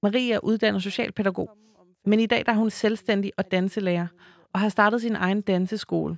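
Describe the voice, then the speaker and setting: A woman speaks at a moderate pace and medium pitch. Her intonation is monotone and flat, with a dry, close sound and no echo. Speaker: podcast host. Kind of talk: scripted narration.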